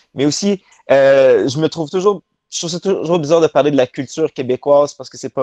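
With a dark, mellow tone, a man speaks at a fairly quick pace. His pitch variation is ordinary, and the background is quiet. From Quebec, Laval near Montreal; Quebec. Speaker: professional wrestler; interview guest. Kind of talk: interview. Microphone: video call.

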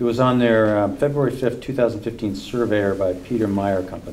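With a normal speaking voice, a man talks at a moderate pace and a fairly low pitch, his intonation fairly even over light background noise. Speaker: commission member. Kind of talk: public meeting discussion. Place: meeting room.

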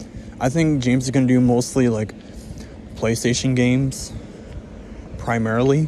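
A man at a moderate pace, fairly even in intonation, dry sound without echo, light background noise. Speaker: vlogger. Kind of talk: casual vlog chat. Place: car. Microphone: phone near.

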